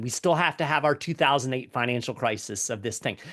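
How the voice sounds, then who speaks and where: A man with a plain, everyday voice, medium pitch and ordinary pitch variation, dry and close with no echo against a quiet background. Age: 50s. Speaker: economics commentator. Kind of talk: interview conversation.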